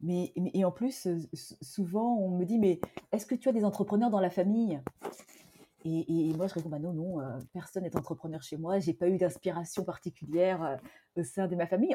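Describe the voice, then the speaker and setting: A woman talks at a moderate pace and medium pitch with ordinary pitch variation. Her tone is dark and mellow, and somewhat breathy. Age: 40s. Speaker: entrepreneur. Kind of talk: interview conversation.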